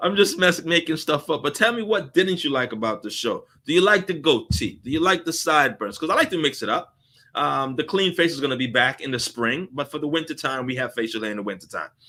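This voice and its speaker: Barely pausing, a man rattles along at a very fast pace with a fairly high pitch and lively intonation. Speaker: live show host, customer service expert. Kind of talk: live stream Q&A with viewer comments. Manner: animated.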